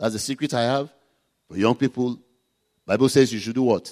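A man speaks with a Nigerian accent in a dry, close recording with no echo. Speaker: pastor. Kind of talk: sermon. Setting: church.

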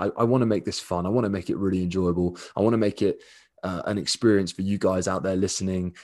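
Over a quiet background, a man with a southern English accent talks at a very fast pace in a very deep, low pitch. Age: 20s. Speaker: dog daycare owner and podcast host. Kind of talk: casual solo monologue. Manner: relaxed, hesitant with fillers.

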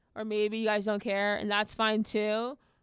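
The recording is very clean, with a silent background. A woman with a fairly high pitch speaks at a moderate pace. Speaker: podcast host. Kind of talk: casual chat. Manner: mumbling.

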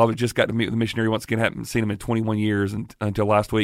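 The voice has a Southern US accent. It is a very clean recording with a silent background. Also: man. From South Carolina, Greenwood. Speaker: pastor. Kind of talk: casual interview.

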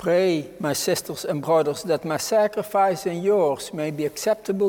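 The tone is solemn, with ordinary pitch variation. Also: man. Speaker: priest celebrating Mass. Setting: chapel, televised Mass. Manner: solemn, reverent, fervent.

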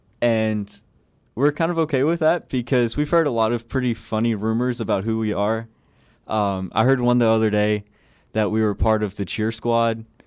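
A man with a normal speaking voice and an American accent, medium in pitch with ordinary pitch variation, at a moderate pace and very even loudness, on a very clean recording with a silent background. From Southeast Texas (Buna). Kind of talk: interview. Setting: studio.

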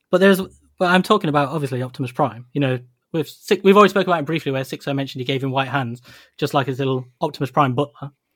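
With a British accent, a man speaks at a very fast pace and a fairly high pitch. His pitch varies in an ordinary way on a very clean recording with a silent background. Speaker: toy podcast host. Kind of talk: casual chat.

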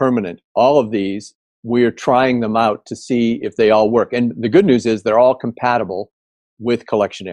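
A man with an American accent has an unremarkable speaking voice at a medium pitch, with fairly even intonation and a moderate pace. The sound is dry and close with no echo, over a quiet background. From US Midwest, Indiana. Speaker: tech company founder. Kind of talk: interview.

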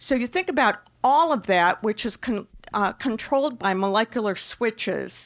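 With lively intonation and a fairly high pitch, a woman speaks at a moderate pace in an Upper Midwest accent, recorded with a dry, close sound with no echo on a very clean recording with a silent background. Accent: Upper Midwest American. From Wisconsin. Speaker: breast cancer oncologist. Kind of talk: panel discussion at live event. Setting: store event with live audience.

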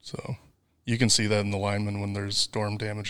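With a Wisconsin accent, a man speaks at a fairly low pitch on a very clean recording with a silent background. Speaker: fiber optic network designer. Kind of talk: casual interview.

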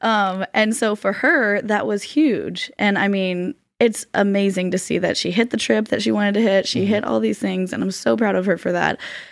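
With a normal speaking voice, a woman speaks at a moderate pace and medium pitch, with ordinary pitch variation and hardly any pauses, on a very clean recording with a silent background. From Florida. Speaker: business coach. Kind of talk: casual chat.

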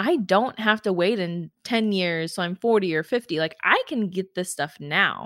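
In a very clean, dry, close recording with a silent background and no echo, a woman speaks in an animated tone at a medium pitch. She keeps a moderate pace with hardly any pauses and ordinary pitch variation. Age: 30s. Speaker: podcast host and attorney. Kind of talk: solo podcast monologue.

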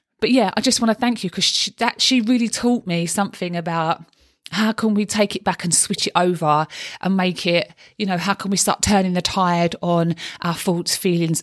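Speaking in a Cockney accent at a moderate pace, a woman with a fairly low pitch keeps a fairly even intonation in a dry, close sound with no echo. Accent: Cockney London. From London (East End). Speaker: life coach and podcast host. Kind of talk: solo podcast monologue. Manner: chatty, talkative.

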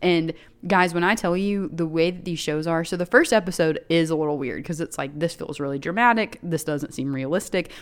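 A woman with an American accent speaks at a fairly quick pace in a fairly low pitch with ordinary pitch variation, an ordinary speaking voice. The recording is very clean, with a silent background. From Chattanooga, Tennessee, US South. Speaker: podcast co-host. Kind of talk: casual chat.

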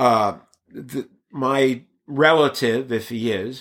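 A man with an American accent, medium pitch, and ordinary pitch variation. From Brooklyn, New York (Bensonhurst), then Bay Area from age nine. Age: 50s. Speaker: actor and stand-up comedian. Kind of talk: casual interview.

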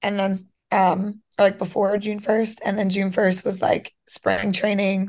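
With an American accent, a woman speaks fairly slowly at medium pitch in monotone, flat intonation. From Pennsylvania, US. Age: 20s. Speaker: professional softball player and nurse. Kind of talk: casual interview.

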